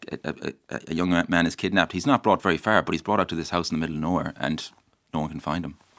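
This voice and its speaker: Very fast and very deep in pitch, a man talks with an Irish accent. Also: ordinary pitch variation, dry, close sound with no echo. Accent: Irish (Mayo). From Ireland, County Mayo. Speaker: novelist. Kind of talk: radio interview. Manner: halting, many false starts.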